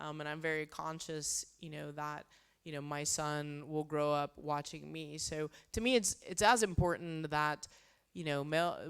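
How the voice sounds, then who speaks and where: In a Texan accent, the speaker talks at a moderate pace with ordinary pitch variation. Loudness swings widely, and the recording is very clean with a silent background. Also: woman, very deep, low pitch for a woman. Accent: Texan American. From Texas, small town. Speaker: space flight director. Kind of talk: Q&A interview.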